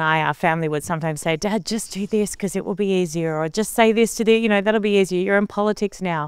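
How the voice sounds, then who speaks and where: In an Australian accent, a woman talks at a very fast pace on a very clean recording with a silent background. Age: 40s. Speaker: television presenter. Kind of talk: interview.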